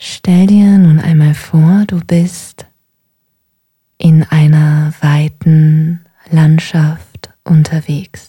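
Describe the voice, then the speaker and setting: Speaking at a very slow pace with long, frequent pauses, a woman with a very deep, low pitch and a somewhat breathy sound keeps a calm, soothing tone and a monotone, flat intonation. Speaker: meditation guide. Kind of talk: guided meditation. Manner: slow, calm, soothing; gentle, unhurried, with long pauses.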